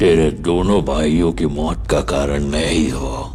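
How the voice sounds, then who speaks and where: Over loud background noise, a man puts on a character voice and speaks at a fairly slow pace. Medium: fan dub. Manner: cocky, street-style slang.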